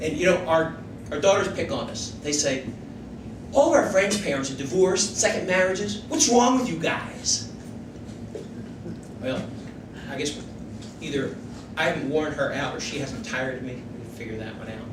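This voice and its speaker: A man talks at a high pitch with very wide pitch swings, big swings in loudness and long, frequent pauses. Audible room echo and noticeable background noise fill the recording. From Philadelphia, Pennsylvania (North Philadelphia). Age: 60s. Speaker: political candidate. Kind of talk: stump speech.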